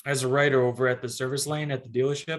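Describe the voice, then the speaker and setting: A man's medium pitch in a monotone, flat intonation. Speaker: real estate agent. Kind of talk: interview. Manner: halting.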